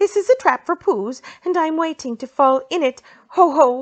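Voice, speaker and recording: In a squeaky, put-on character voice with an extremely high pitch, a woman talks at a moderate pace against a quiet background. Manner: fast, unsettled.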